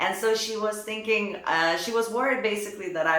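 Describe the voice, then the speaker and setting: There is noticeable background noise behind this woman. She speaks at a moderate pace with ordinary pitch variation. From Lithuania. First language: Lithuanian. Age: 30s. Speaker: professional dancer. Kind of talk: personal vlog. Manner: casual, conversational.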